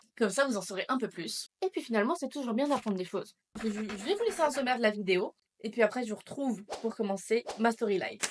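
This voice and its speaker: Her fairly high voice racing along, a woman talks at a very fast pace. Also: ordinary pitch variation. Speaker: YouTuber. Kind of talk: personal vlog. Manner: casual.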